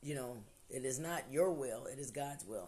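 Room echo can be heard. The woman's intonation is lively. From Ohio. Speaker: podcast host, motivational talker. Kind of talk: casual motivational monologue. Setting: at home by a window. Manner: animated, conversational with repetitions.

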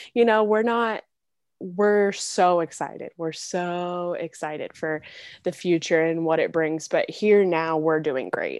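Ordinary pitch variation marks this fairly slow delivery over a quiet background. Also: woman, fairly low pitch for a woman. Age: 20s. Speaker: podcast co-host. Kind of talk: casual chat. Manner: loud.

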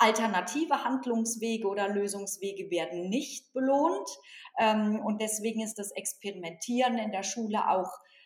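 Here is a woman with an unremarkable speaking voice, fairly high in pitch. Her pace is moderate and her pitch variation ordinary. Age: 40s. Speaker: organisational consultant and author. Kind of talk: interview.

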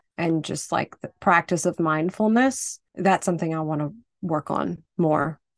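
Against a quiet background, a woman with an unremarkable speaking voice talks at a fairly slow pace, with fairly low pitch and ordinary pitch variation. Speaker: podcast co-host. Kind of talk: casual chat.

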